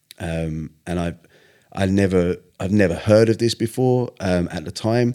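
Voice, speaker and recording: A man with a southern English accent, in a very clean recording with a silent background. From southern England. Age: 40s. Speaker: singer. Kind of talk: casual chat.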